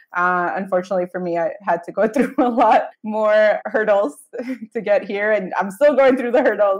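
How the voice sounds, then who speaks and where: Speaking at a moderate pace with a General American accent, a woman uses an ordinary speaking voice, fairly high in pitch with ordinary pitch variation. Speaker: travel blogger and podcast host. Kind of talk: casual interview chat.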